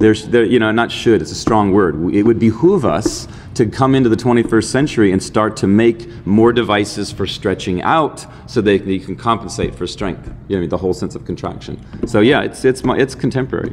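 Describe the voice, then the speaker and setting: Faint music plays behind a man who talks in a fairly low pitch with hardly any pauses. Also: ordinary pitch variation, fairly quick pace. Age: 50s. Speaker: dance professor and filmmaker; dance professor. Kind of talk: interview. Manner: animated. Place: meeting room. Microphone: studio mic.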